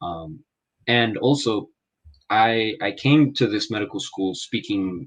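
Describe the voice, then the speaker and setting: Against a quiet background, the voice carries an American accent. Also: man. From Los Angeles, California, US. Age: 20s. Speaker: medical student, English tutor. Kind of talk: casual interview. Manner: halting, many fillers.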